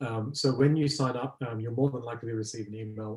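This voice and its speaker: In an Australian accent, a man talks in a dark, mellow tone that is somewhat breathy, with fairly even intonation. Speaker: business development executive. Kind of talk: webinar presentation with Q&A. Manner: hesitant with frequent fillers.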